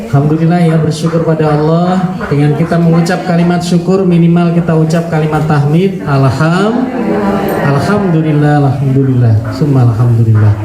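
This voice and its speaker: With noticeable background noise and audible room echo, a man speaks at a moderate pace with very even loudness, fairly high pitch and ordinary pitch variation. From West Java. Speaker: Islamic preacher. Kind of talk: religious lecture. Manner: animated. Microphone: voice muffled by face mask.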